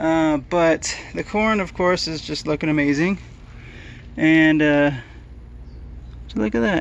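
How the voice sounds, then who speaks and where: A man speaks in a fairly high pitch with ordinary pitch variation. He leaves long, frequent pauses. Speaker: DIY gardening YouTuber. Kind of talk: casual vlog. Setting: outdoors in garden. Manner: fast.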